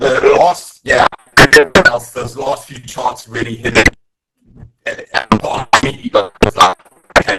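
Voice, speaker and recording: Long, frequent pauses break up a man's speech at a fairly slow pace. His loudness swings widely, and the sound is dry and close with no echo. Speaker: audience member. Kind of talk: audience question. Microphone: distorted, breaking up.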